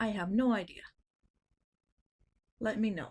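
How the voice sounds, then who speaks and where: A quiet woman talks at a fairly slow pace with lively intonation. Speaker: artist streaming drawing. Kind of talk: casual livestream chat. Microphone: too quiet, volume maxed.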